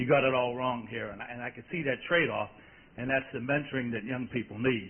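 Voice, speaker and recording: Over noticeable background noise, a man at a medium pitch speaks very fast with fairly even intonation and big swings in loudness. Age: middle-aged. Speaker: engineer asking a question at a conference. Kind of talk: audience question at panel Q&A.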